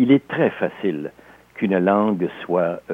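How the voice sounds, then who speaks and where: A man speaking at a very slow pace. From Alsace, France, then Quebec from age 10. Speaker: novelist and sports historian. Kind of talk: interview.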